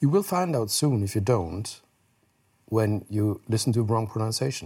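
In a German accent, a man talks at a fairly slow pace with a medium pitch, lively intonation and a somewhat breathy quality. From Germany, Heidelberg. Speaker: news anchor. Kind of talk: casual chat. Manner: halting.

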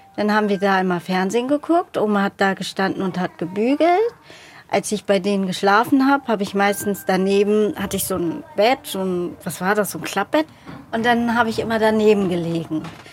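Noticeable background noise sits behind this recording. A woman speaks at a fairly quick pace with ordinary pitch variation. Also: medium pitch for a woman. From Hamburg, Germany (born in Namibia, adopted at two). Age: 20s. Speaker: adoptee, aspiring actress. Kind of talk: personal testimony.

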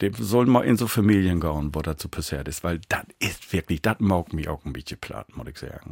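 At a moderate pace, a man with an ordinary speaking voice talks with lively intonation in a dry, close sound with no echo. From East Frisia, northern Germany. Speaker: musician. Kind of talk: interview.

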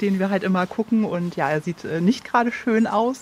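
A woman talks with an unremarkable speaking voice. Her pitch is medium, with ordinary variation. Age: 30s. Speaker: homeowner and mother. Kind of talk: casual chat. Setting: outdoors in a garden.

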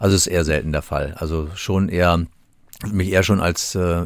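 A man's very deep, low voice comes through a very clean recording against a silent background. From Hesse, Germany (Gießen). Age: 60s. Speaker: police chief. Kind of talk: interview.

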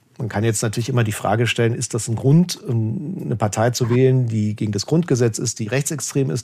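Somewhat breathy, a man with a medium pitch and a dark, mellow tone speaks at a fairly quick pace with lively intonation. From eastern Germany, Leipzig. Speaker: political correspondent. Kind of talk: interview conversation.

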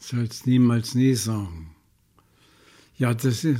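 Speaking at a very slow pace, a man has a medium pitch. His tone is dark, mellow and somewhat breathy. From Saxony, Chemnitz. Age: 90s. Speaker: Holocaust survivor. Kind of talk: interview testimony. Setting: care home.

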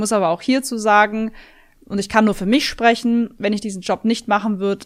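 A woman at a very fast pace, in a very clean recording with a silent background. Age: 30s. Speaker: video game streamer. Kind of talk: interview.

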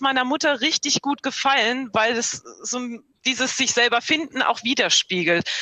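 A woman with a high-pitched voice talks over noticeable background noise. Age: 40s. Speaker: podcast listener. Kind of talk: book discussion via video call. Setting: video call.

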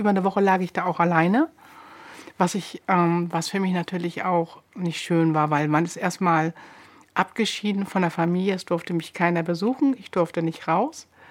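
A woman with a plain, everyday voice speaks at a moderate pace, with a fairly low pitch and fairly even intonation, on a very clean recording with a silent background. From northern Germany, Buchholz in der Nordheide. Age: 50s. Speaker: elderly care nurse, patient. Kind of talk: interview testimony.

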